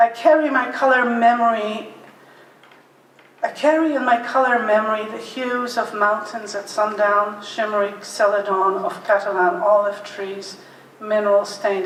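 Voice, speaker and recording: At a fairly slow pace and with ordinary pitch variation, the speech has audible room echo and noticeable background noise. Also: woman, fairly high pitch for a woman. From Poland, later Canada from age 11. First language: Polish. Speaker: painter. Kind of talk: prepared talk at art exhibition.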